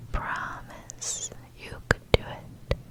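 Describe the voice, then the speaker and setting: A woman whispers in a gentle tone over noticeable background noise. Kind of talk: ASMR positive affirmations. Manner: whispered, soft, gentle.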